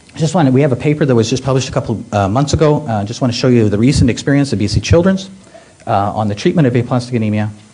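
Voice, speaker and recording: A man with a medium-pitched voice talks at a very fast pace, his loudness very even and his pitch varying in an ordinary way, with audible echo from the room. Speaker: pediatric hematologist oncologist, professor. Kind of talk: medical conference talk. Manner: halting, many fillers.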